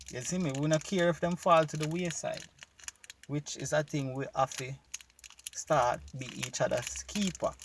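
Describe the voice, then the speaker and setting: Over noticeable background noise, a man with a fairly high voice and a Jamaican accent talks at a moderate pace with fairly even intonation and long, frequent pauses. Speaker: YouTube commentator. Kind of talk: casual reaction video talk to camera.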